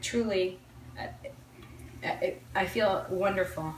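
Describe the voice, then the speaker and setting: A speaker with an American accent is heard with audible room echo and noticeable background noise. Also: woman. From New Jersey, Old Bridge. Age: 40s. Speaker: home cook. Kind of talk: interview testimony. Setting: home kitchen. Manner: halting.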